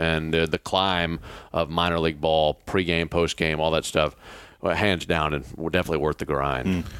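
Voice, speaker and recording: A man's very deep, low voice in a Southern US accent, monotone and flat, with very even loudness. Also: moderate pace, very clean recording, silent background. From Mississippi. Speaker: radio play-by-play broadcaster. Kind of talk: interview. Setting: hotel room.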